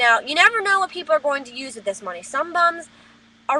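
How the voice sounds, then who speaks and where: A woman with an American accent uses a raised, projected voice at a high pitch, with very wide pitch swings. Her tone is animated, over noticeable background noise. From New Jersey. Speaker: vlogger. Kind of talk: webcam rant. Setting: webcam recording.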